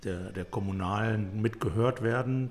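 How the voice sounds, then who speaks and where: This man talks at a fairly slow pace with ordinary pitch variation. His voice is somewhat breathy. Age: 60s. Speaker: city mayor. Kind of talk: interview.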